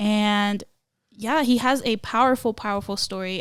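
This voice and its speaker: The recording is very clean, with a silent background. A woman speaks at medium pitch. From Florida. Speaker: podcast co-host, nonprofit staff. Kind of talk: casual podcast chat. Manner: animated.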